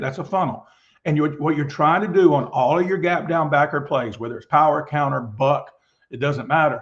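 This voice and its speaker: A man's fairly high, somewhat breathy voice at a very fast pace, with ordinary pitch variation and a quiet background. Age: 60s. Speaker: football coach. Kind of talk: lecture.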